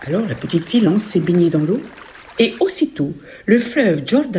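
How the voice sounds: What you hear is a natural reading voice.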